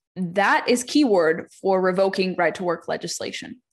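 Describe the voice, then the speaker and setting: A woman's ordinary speaking voice at medium pitch and moderate pace over a quiet background. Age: 30s. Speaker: political columnist and podcaster. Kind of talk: interview.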